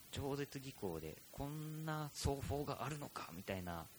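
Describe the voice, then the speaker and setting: Somewhat breathy, a man's voice makes very wide pitch swings. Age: middle-aged. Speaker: podcast host, percussionist. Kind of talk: casual chat.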